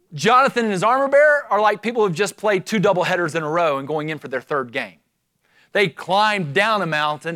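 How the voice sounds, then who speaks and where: In a very clean, dry, close recording with a silent background and no echo, a man with a high pitch projects a raised voice at a moderate pace and with lively intonation. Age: 50s. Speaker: pastor. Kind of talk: sermon. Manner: animated.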